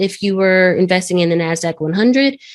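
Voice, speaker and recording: A woman speaks in an ordinary speaking voice at a fairly quick pace, her pitch medium. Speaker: trading educator. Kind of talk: lecture.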